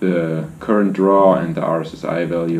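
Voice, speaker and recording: With noticeable background noise and audible room echo, a man with a very deep, low pitch speaks in a flat monotone at a moderate pace. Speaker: drone racing pilot, video creator. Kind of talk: tutorial. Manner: casual, halting with fillers.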